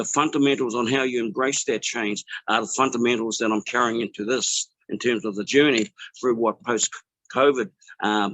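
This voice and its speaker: A man with a New Zealand accent speaks at a medium pitch. His pace is moderate and his pitch variation ordinary. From New Zealand (Māori). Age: 60s. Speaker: business networker sharing testimony. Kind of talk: testimony. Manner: halting, many fillers.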